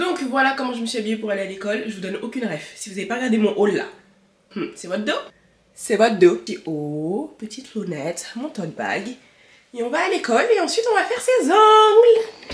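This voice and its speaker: A woman talks at a fairly quick pace with a fairly high pitch. Her pitch swings very widely and her loudness rises and falls sharply. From France, of Malian heritage. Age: 20s. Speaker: lifestyle vlogger. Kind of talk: casual talk to camera.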